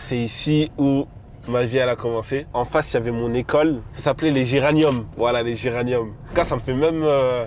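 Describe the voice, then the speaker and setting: A man speaks in a plain, everyday voice at medium pitch, with fairly even intonation and a moderate pace. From France, Lyon. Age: 20s. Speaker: vlogger and e-commerce entrepreneur. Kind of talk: vlog narration. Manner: casual, filler-heavy.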